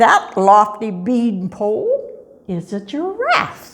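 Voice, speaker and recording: A woman puts on a character voice at a fairly high pitch. She talks at a very slow pace. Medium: read story. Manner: calm, wise.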